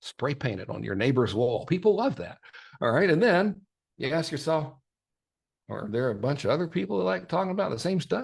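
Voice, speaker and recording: With vocal fry and very wide pitch swings, a man speaks at a fairly high pitch and a fairly quick pace. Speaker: marketing workshop presenter. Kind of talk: live workshop presentation. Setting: livestream in private online group. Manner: fast; animated.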